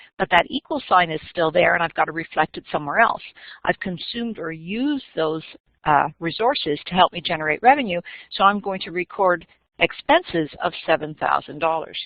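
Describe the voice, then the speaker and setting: A woman speaks at a fairly quick pace in a fairly low voice. Her intonation is lively, with big swings in loudness. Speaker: accounting instructor. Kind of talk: live webinar lecture. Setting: live stream webinar. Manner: fast.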